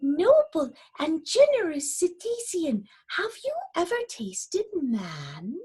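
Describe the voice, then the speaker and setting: Using a put-on character voice, a woman pitches her speech extremely high. She keeps a fairly slow pace. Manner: timid, flattering.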